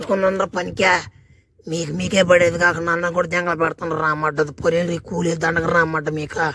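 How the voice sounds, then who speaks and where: A man does a cartoonish character voice at a high pitch. The delivery is monotone and flat at a moderate pace. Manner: rough, irritable.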